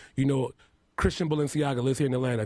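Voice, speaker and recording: Intonation stays monotone and flat as a man talks in a dark, mellow tone. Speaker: makeup artist and reality show contestant. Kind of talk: radio interview. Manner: heavy enunciation at times.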